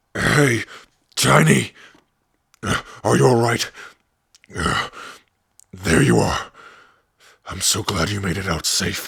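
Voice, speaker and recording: A raspy, put-on character voice moves at a fairly slow pace. Long, frequent pauses break it up. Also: man, very deep, low pitch for a man. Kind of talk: ASMR roleplay.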